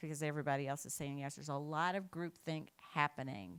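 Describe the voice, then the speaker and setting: The woman speaks at a very fast pace. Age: 60s. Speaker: keynote speaker, equity consultant. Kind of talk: conference keynote.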